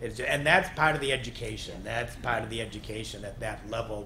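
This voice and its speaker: A man talks at a medium pitch with ordinary pitch variation. Light background noise sits behind him. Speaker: conference panelist, organic land care expert. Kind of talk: panel answer to audience question. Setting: conference talk, live audience Q&A. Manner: fast talker. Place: meeting room. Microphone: podium.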